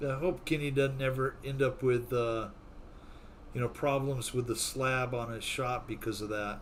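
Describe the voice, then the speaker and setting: A man with fairly even intonation and a medium pitch talks in a room where the echo is audible. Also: moderate pace. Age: old. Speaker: RC flight simulator livestream host. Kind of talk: casual livestream chat. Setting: live stream.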